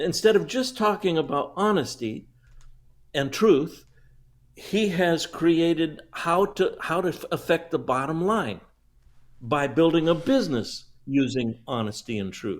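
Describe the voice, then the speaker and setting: The voice moves through very wide pitch swings at a fairly slow pace in a very clean recording with a silent background. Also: man, high pitch for a man. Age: 70s. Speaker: public speaking coach. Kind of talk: interview. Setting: live stream.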